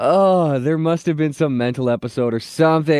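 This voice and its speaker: In a normal speaking voice, a man talks at a fairly high pitch and a moderate pace. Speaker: radio morning show co-host. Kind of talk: casual chat. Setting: radio studio.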